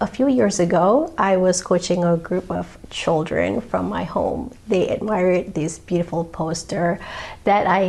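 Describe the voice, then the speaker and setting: A woman in a Malaysian accent, medium in pitch, at a fairly slow pace. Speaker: painter and channel host. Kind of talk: channel introduction monologue.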